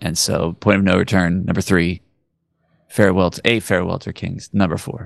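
A man's very deep, low voice at a moderate pace, fairly even in intonation, with big swings in loudness. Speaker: podcast co-host. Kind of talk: casual chat.

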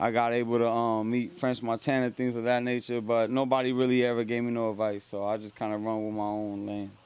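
Very fast, monotone speech with flat intonation and an American accent. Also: man, medium pitch for a man. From New Jersey. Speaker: rapper. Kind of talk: casual interview at a live event. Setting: live music event venue.

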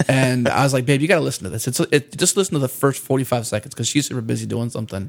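A man talks at a very fast pace with hardly any pauses, his pitch medium and its variation ordinary. Noticeable background noise runs under the recording. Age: 30s. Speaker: podcast co-host. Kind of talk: casual chat.

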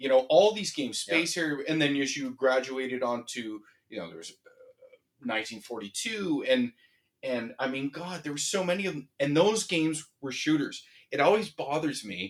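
A man's fairly high pitch carries an ordinary speaking voice at a moderate pace. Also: lively intonation. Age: 40s. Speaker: gaming podcast co-host. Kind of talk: casual chat.

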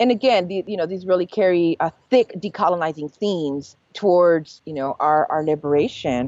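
Barely pausing, a woman with an American accent speaks at a moderate pace in a fairly low pitch with ordinary pitch variation. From US West, East Los Angeles. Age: 40s. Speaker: food scholar and chef. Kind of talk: interview. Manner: hesitant with many fillers.

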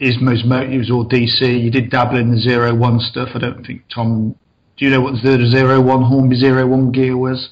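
Medium-pitched, somewhat breathy speech from a man with monotone, flat intonation. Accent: East Midlands. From East Midlands of England (Mansfield, Nottinghamshire). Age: 40s. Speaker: model railway layout builder. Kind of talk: interview. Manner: fast.

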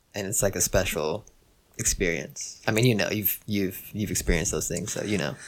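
A man talks at a fairly quick pace. His voice is fairly low, with ordinary pitch variation. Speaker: rapper and producer. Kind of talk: casual chat.

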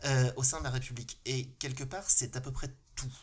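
A man with a medium-pitched voice sounds somewhat breathy. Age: 50s. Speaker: local elected official. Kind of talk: casual panel discussion.

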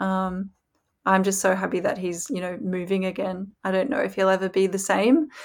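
Medium in pitch, a woman with an Australian accent talks at a moderate pace with ordinary pitch variation. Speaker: former pro cyclist, pundit. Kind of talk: casual chat.

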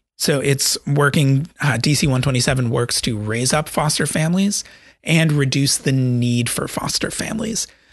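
A man speaks at a moderate pace with a fairly high, somewhat breathy voice and ordinary pitch variation. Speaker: podcast host. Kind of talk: interview podcast with solo intro and outro. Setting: studio podcast recording.

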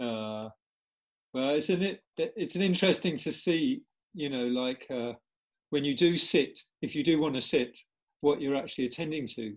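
Long, frequent pauses break up a man's speech. Between them, he talks at a moderate tempo. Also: ordinary pitch variation. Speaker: former Buddhist monk, headless way practitioner. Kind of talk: webinar discussion. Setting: video call.

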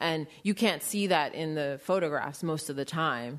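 A woman with a very deep, low voice and an American accent, ordinary pitch variation, and a quiet background. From New York City. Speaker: visual artist. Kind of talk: interview. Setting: stage with audience.

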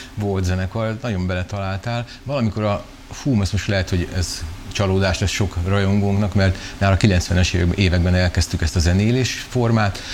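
A man speaks in a fairly low pitch with fairly even intonation at a moderate pace. Noticeable background noise runs behind him. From Hungary, Szeged. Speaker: children's musician. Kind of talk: interview.

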